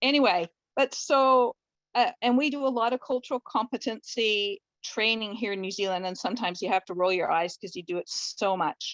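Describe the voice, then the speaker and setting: In a plain, everyday voice with a Canadian accent, the speaker talks at a fairly quick pace with lively intonation, in a dry, close sound with no echo over a quiet background. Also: woman, fairly high pitch for a woman. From Canada. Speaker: family doctor. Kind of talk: online discussion comment. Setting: video call.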